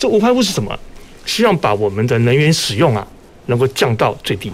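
A man's voice with very wide pitch swings, over noticeable background noise. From Taiwan, Kaohsiung. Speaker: power utility executive. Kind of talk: radio panel discussion. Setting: radio studio, live broadcast.

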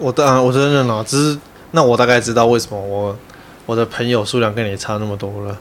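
A normal speaking voice from a man, medium in pitch, at a fairly quick pace with fairly even intonation. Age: 30s. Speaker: podcast co-host. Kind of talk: casual chat.

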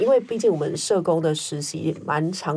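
This is an unremarkable speaking voice. It moves along at a moderate pace. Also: woman. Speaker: social worker. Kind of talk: interview conversation.

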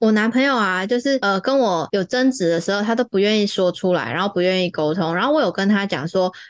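In a plain, everyday voice, a woman speaks at a fairly quick pace and medium pitch with ordinary pitch variation. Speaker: podcast host. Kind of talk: casual chat.

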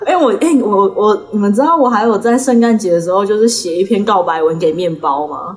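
Noticeable background noise sits behind a woman talking at a fairly quick pace. Her medium-pitched voice has lively intonation. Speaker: podcast co-host. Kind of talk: casual chat.

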